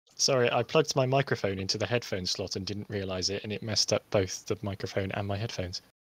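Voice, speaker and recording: In a Home Counties accent, a man with fairly low pitch talks very fast with ordinary pitch variation, on a very clean recording with a silent background and a dry, close sound with no echo. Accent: British, Home Counties. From southern England, Hampshire. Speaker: game music composer and team lead. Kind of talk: casual chat. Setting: live stream voice chat.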